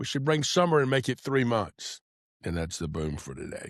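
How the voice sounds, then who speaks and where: A man speaks with an American accent. The recording is very clean, with a silent background. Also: dry, close sound with no echo. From US South (Atlanta). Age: 70s. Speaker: podcast host. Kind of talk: casual monologue.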